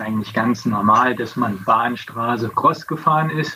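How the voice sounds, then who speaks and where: A man with a medium-pitched, normal speaking voice talks at a moderate pace. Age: 50s. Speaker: former pro cyclist. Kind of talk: casual interview. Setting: video call.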